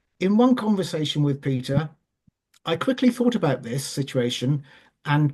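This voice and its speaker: Against a quiet background, the speaker talks with a Welsh accent. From Wales. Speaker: charity chair. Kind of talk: panel talk. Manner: hesitant.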